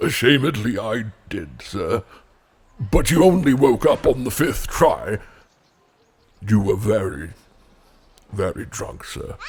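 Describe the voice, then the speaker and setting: Putting on a character voice, a man speaks at a medium pitch and a fairly slow pace, with long, frequent pauses. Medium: audio drama. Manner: formal, deferential.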